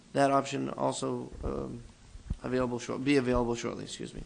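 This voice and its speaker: The pace of this man's speech is fairly quick. His pitch sits in the medium range. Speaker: city clerk. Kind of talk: reading aloud.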